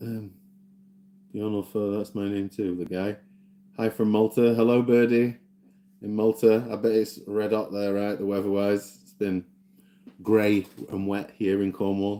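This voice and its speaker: A man with a Yorkshire accent and a fairly low pitch, dark and mellow in tone, monotone and flat, at a fairly slow pace with long, frequent pauses and big swings in loudness. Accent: mild Yorkshire. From South Yorkshire, Doncaster. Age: 40s. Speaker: gaming streamer. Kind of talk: casual live-stream chat. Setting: live stream. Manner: relaxed, unhurried.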